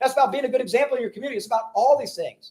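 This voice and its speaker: An animated man at an extremely high pitch, very fast pace and ordinary pitch variation. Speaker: cleaning company team leader. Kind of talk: motivational team huddle talk.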